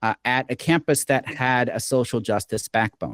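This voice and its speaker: Recorded very clean with a silent background and a dry, close sound with no echo, a man with an American accent uses a normal speaking voice at medium pitch with ordinary pitch variation. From Oklahoma, US. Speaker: game design professor. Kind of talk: interview.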